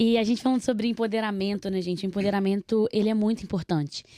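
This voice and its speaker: Fairly quick in pace and fairly even in intonation, the voice carries a dark, mellow tone through a dry, close sound with no echo on a very clean recording with a silent background. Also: woman. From Minas Gerais, Brazil (Nova Lima). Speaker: podcast host. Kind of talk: casual chat.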